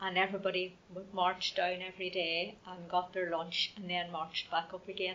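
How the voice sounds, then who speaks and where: A woman speaks in a Northern Irish accent at a moderate pace. Her medium-pitched voice stays monotone and flat. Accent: Northern Irish (Fermanagh). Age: 60s. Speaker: local resident sharing memories. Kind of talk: oral history interview. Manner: hesitant, conversational.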